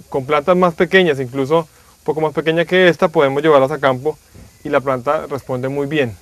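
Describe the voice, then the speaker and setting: On a dry recording with no echo, a man talks at a fairly quick pace with fairly even intonation. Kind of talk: tutorial explanation for agricultural TV. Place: garden.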